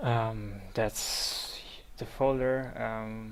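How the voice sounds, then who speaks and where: Someone with a non-native accent speaks in a space with audible room echo. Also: man. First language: not English. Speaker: software tutorial maker. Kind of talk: tutorial. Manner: halting, many fillers.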